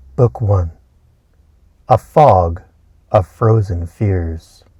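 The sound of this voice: A man's low-pitched voice with a slightly husky edge, delivered at a very slow pace. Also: ordinary pitch variation.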